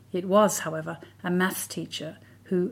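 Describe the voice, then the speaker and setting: With vocal fry and fairly even intonation, a woman speaks at a fairly low pitch on a very clean recording with a silent background. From Australia. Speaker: writer. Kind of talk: scripted narration. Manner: measured.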